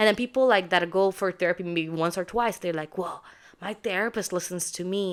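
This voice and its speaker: With a non-native accent, a woman talks at a moderate pace and a fairly low pitch, her pitch varying in an ordinary way. The recording is very clean, the background silent. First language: not English. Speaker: podcast co-host. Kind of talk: casual chat.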